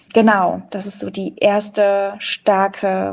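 A woman's voice with fairly even intonation. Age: 30s. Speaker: theatre director and author. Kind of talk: casual chat. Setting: video call.

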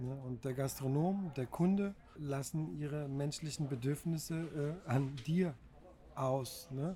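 Speaking very slowly, a man with a fairly high pitch has a dark, mellow, somewhat breathy tone and ordinary pitch variation. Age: 40s. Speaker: bicycle food courier and works council member. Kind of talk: interview. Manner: hesitant, frequent fillers.

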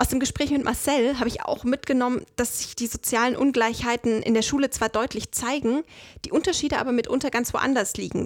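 On a very clean recording with a silent background, a woman with an unremarkable speaking voice and fairly high pitch talks at a fairly quick pace, the sound dry and close with no echo. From Saxony, eastern Germany. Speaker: podcast host, trainee. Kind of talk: casual interview.

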